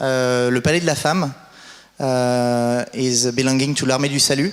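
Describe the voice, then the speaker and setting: Very slow speech in a French accent, with noticeable background noise and audible room echo. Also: man. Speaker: conference moderator. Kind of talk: event introduction. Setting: stage with audience. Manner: halting.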